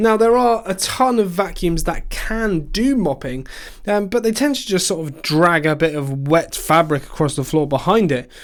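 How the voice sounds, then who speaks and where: A man with an English accent speaks at a moderate pace with a high pitch and lively intonation, in a very clean recording with a silent background. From England. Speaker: tech reviewer. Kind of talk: product review narration. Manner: animated.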